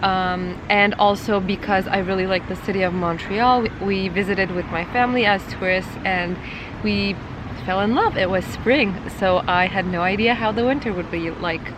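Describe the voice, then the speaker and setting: A woman with a slight Turkish accent speaks at a moderate pace in a medium pitch, her intonation fairly even, with audible room echo and noticeable background noise. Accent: little Turkish. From Turkey. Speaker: marketing YouTuber. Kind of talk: personal vlog storytelling. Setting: outdoors in a playground.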